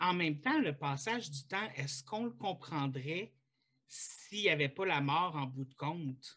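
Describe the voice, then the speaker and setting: With a Quebec accent, a man speaks fairly slowly in a fairly high, bright and sharp voice with lively intonation. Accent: Québécois French. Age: 30s. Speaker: podcast host. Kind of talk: casual chat.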